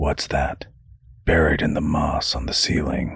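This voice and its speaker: In a put-on character voice, a raspy man talks at a fairly slow pace. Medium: read story. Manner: cautious, exasperated.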